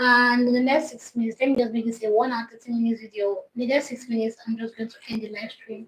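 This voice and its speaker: Speaking at a very fast pace with hardly any pauses, a woman uses a fairly high, flat, monotone delivery while her loudness swings a lot. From Nigeria. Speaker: YouTube coach. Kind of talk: livestream talk. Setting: livestream.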